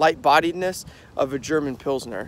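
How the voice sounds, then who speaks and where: Over light background noise, a man talks at a moderate pace with ordinary pitch variation in a dry sound with no echo. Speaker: beer vlogger. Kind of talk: casual vlog chat. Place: open country. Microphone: phone near.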